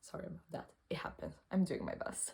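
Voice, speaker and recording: A woman speaks with a non-native accent. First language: not English. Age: 20s. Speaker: cancer patient vlogger. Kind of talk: personal testimony vlog. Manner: halting, self-correcting.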